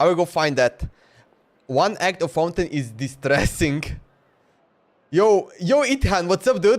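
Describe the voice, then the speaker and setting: A man with a Slovenian accent speaks at a fairly slow pace. His high pitch moves in very wide swings. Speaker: gaming streamer. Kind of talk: live game stream commentary. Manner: casual, halting.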